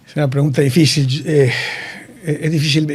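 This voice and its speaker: A man at fairly high pitch and moderate pace, with noticeable background noise and audible room echo. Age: 60s. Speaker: engineer and hospital director. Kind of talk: interview. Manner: halting, many fillers.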